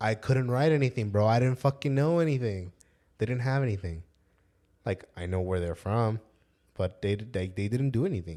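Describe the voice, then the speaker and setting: Lively intonation in a dark, mellow tone. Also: man, medium pitch for a man, very clean recording, silent background. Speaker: youth soccer coach. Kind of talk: casual chat. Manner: fast.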